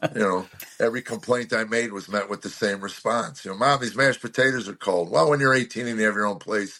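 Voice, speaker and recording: Against noticeable background noise, a man talks at a very fast pace with medium pitch and ordinary pitch variation. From Chicago, US Midwest. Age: 60s. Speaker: comedian. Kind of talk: podcast interview. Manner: halting, many fillers.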